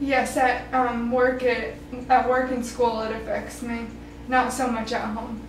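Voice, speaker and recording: A woman's high, monotone, flat voice, with audible room echo and noticeable background noise. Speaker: student, therapy client. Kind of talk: interview answers. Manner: halting.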